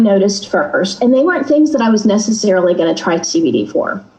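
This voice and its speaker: A woman speaks in a Texan accent with very wide pitch swings. There is audible room echo and noticeable background noise. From Texas. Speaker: guest sharing a personal experience. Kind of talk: casual chat. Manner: fast.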